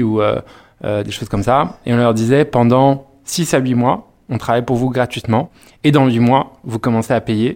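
Delivered at a moderate pace with fairly even intonation, the speech comes through on a very clean recording with a silent background. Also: man. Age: 30s. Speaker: PR agency co-founder. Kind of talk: interview. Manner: hesitant, many fillers.

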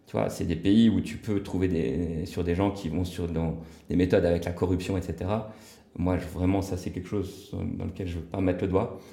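A man with a dark, mellow, somewhat breathy tone and fairly even intonation, amid audible room echo. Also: moderate pace. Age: 40s. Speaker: real estate developer and entrepreneur. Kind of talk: casual interview. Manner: hesitant, many filler words.

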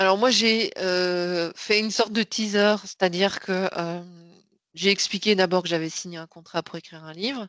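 At a moderate pace, a woman of medium pitch talks with fairly even intonation and big swings in loudness, the sound dry and close with no echo over a quiet background. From Belgium. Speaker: sales strategy consultant and author. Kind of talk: interview. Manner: halting.

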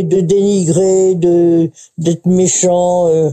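A woman speaks with a dark, mellow tone. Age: 90s. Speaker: retirement home resident. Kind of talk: interview testimony. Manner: halting.

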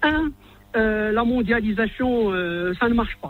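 Ordinary pitch variation in a man's voice pitched high for a man. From Morocco. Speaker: economist. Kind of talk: radio interview.

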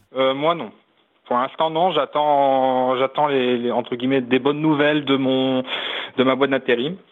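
A man with a medium pitch speaks at a fairly slow pace in a monotone, flat way. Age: 20s. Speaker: caller. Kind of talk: phone-in call.

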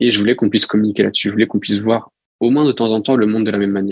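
Here a man speaks at a fairly low pitch. The sound is dry and close, with no echo. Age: 20s. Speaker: founder of an expedition and coaching venture. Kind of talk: interview. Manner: hesitant.

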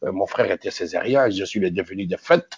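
This man speaks with a fairly low pitch. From DR Congo, Kinshasa. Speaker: film director. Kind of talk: interview. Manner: halting, frequent repetitions.

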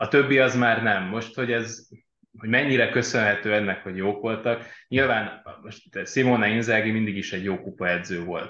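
This man's bright, sharp voice sits at medium pitch, moving at a moderate pace with ordinary pitch variation. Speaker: sports journalist. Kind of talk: casual football discussion.

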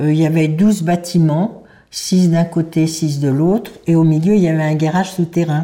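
Her tone dark and mellow, a woman speaks at a moderate pace and fairly low pitch, with fairly even intonation and very even loudness. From Paris, France. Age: 90s. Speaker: Holocaust survivor. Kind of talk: testimony. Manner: halting.

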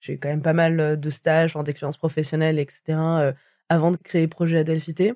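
Very deep and low in pitch, a woman speaks at a fairly quick pace. Her tone is dark and mellow, and her intonation is monotone and flat. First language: not French (speaking French). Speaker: podcast host, diversity consultant. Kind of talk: interview conversation.

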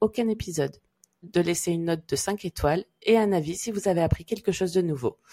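A woman speaks at a fairly quick pace, her medium pitch varying in an ordinary way. Her tone is dark and mellow, with a dry, close sound and no echo. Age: 30s. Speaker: podcast host, Chinese medicine therapist. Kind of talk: casual chat; scripted intro. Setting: around hot drinks.

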